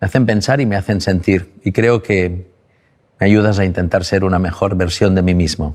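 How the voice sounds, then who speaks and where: In a calm tone, a man with a very deep, low pitch speaks at a moderate pace, with fairly even intonation and very even loudness. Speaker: interviewer and book editor. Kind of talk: interview.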